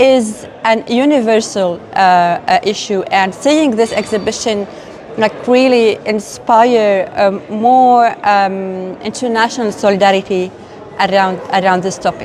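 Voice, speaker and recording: With an Arabic accent, a woman speaks at a fairly slow pace in a fairly high pitch with ordinary pitch variation over noticeable background noise. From Lebanon. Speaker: human rights advocate. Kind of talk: interview testimony. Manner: halting, many fillers.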